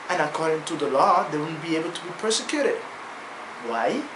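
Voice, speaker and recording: The speech comes at a moderate pace. Noticeable background noise is present. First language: non-native English speaker. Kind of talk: casual talk to camera.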